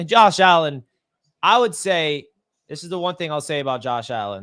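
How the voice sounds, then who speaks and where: Loud male voice with very wide pitch swings at a moderate pace, very clean recording, silent background. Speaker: sports podcast host. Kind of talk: live play-by-play reaction.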